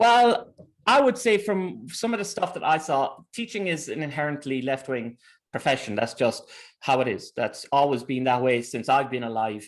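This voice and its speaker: A man with an Irish accent, fairly high in pitch, at a moderate pace with very wide pitch swings. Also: quiet background. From Ireland. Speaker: teacher and researcher. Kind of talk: interview conversation.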